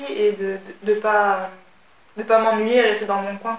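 Moderately paced speech from a woman with a fairly high voice, amid noticeable background noise. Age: 20s. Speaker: French language teacher. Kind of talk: casual interview.

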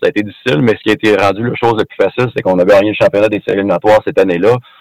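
Speaking at a very fast pace, a man keeps a fairly low pitch and fairly even intonation, heard dry and close with no echo. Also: hardly any pauses. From Quebec, Rimouski. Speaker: former pro hockey player. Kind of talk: interview. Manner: halting, repeats words.

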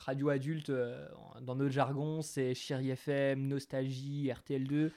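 A man's very slow delivery, with a fairly high pitch and a dark, mellow tone. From Franche-Comté, France (Territoire de Belfort). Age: 20s. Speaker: radio host. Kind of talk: casual interview. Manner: smiling, upbeat.

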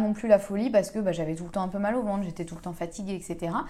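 A woman talks at a very fast pace in a medium pitch, with ordinary pitch variation. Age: 30s. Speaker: podcast host on gut health. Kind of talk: casual solo monologue. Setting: at home. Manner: hesitant, many fillers.

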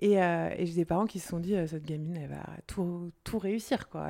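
A woman speaks at a very fast pace in a fairly low pitch. Her tone is dark and mellow, with fairly even intonation. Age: 40s. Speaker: entrepreneur. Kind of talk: casual interview.

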